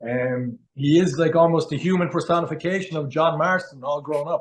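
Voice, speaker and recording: This man talks at a moderate pace with a strong Cork accent, his voice fairly high for a man and his intonation fairly even. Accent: Cork Irish accent, strong. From Ireland, Cork. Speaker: actor. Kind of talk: interview.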